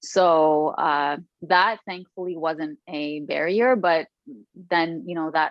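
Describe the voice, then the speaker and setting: Speaking in an Arabic accent, a woman talks at a very slow pace with fairly even intonation. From Lebanon. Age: 30s. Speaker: author. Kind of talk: podcast interview.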